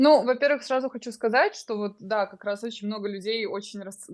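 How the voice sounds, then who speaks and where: A woman talks at a fairly quick pace in a fairly high pitch with ordinary pitch variation and an unremarkable speaking voice. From Ukraine, Dnipro. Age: 20s. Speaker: crypto course student, young mother. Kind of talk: interview testimony.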